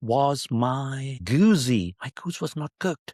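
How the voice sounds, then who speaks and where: Recorded very cleanly against a silent background, with a dry, close sound and no echo, a man of medium pitch speaks very slowly in a Pakistani accent. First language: Urdu. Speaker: podcast host. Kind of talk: casual monologue with poetry reading. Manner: playful, animated.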